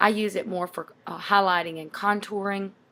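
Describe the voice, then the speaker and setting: A woman's ordinary speaking voice at medium pitch. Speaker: makeup tutorial vlogger. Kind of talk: tutorial. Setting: at home.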